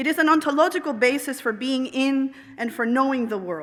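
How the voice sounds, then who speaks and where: Here a woman talks at a moderate pace. Her voice is high, with lively intonation. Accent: Spanish. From Puerto Rico. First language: Spanish. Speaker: professor, anthropologist. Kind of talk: commencement address. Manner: formal.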